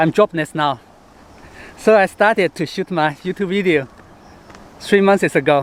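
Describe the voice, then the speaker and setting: A man speaks at a moderate pace with a Hong Kong accent, his pitch high for a man and varying in an ordinary way. The sound is dry and close, with no echo. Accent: Chinese (Hong Kong) accented English. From born in Chengdu, China; moved to Hong Kong in high school. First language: Sichuanese. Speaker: travel writer and travel show host. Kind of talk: vlog monologue to camera. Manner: halting, with fillers.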